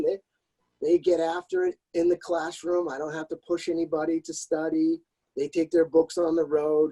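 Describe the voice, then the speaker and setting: A man's high-pitched voice with a dark, mellow tone, ordinary pitch variation, and a dry, close sound with no echo. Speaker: college golf coach. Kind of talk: interview. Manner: loud.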